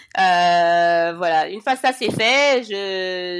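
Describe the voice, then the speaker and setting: The voice has ordinary pitch variation. Noticeable background noise runs underneath. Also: woman. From Senegal. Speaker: cosmetics entrepreneur. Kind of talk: podcast interview.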